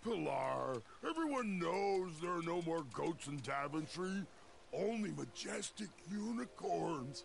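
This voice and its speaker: Using a put-on character voice, a man speaks high in his range. His pace is fairly slow, and clear background noise runs underneath. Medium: video game. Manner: slow, simple.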